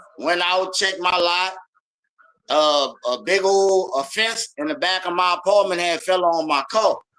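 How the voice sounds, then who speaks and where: A man's high-pitched voice, bright and sharp in tone, at a fairly slow pace. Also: ordinary pitch variation. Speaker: podcast co-host. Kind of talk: casual chat.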